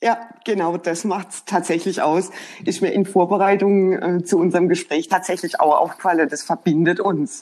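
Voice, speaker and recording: Using an unremarkable speaking voice, a woman talks at a moderate pace and medium pitch with fairly even intonation and big swings in loudness. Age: 50s. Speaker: HR professional. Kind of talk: casual chat. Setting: remote call.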